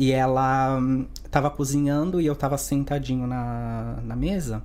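Audible room echo surrounds a man as he speaks. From Santos, São Paulo, Brazil. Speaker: spiritualist, Umbanda practitioner. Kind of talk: podcast interview.

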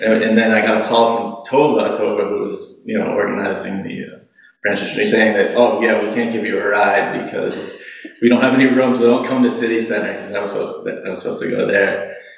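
A man talks with hardly any pauses. There is noticeable background noise behind him. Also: fairly quick pace. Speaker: Zen practitioner sharing retreat experience. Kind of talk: personal testimony.

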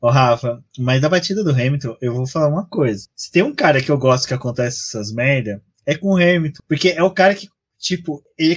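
Fairly quick and somewhat breathy, a man speaks with a fairly high pitch. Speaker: podcast host. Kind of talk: casual chat.

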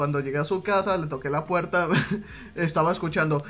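A man speaks over noticeable background noise. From Mexico, Sinaloa. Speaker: podcast host. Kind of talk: casual chat. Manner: laughs often.

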